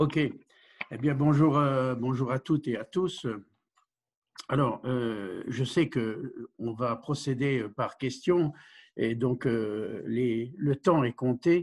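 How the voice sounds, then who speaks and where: A man speaks very slowly at a medium pitch. His pitch varies in an ordinary way, in a very clean recording with a silent background. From Vosges, eastern France. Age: 70s. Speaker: village mayor. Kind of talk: interview.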